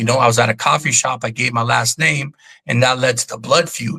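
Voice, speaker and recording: A man speaks at a medium pitch and a moderate pace with vocal fry, a bright, sharp tone, an animated delivery, ordinary pitch variation, and a dry, close sound with no echo. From Albania, raised in US. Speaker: former prisoner and deportee. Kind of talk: casual interview storytelling.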